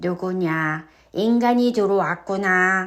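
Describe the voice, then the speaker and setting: A woman's put-on character voice at a medium pitch and a very slow pace, on a very clean recording with a silent background. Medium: read story. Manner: commanding yet good-natured.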